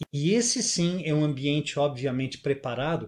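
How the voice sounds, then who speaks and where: Somewhat breathy, a man speaks in a fairly high pitch. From southern Brazil (Rio Grande do Sul, near Uruguay). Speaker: musician and speaker. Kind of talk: interview storytelling. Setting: video call.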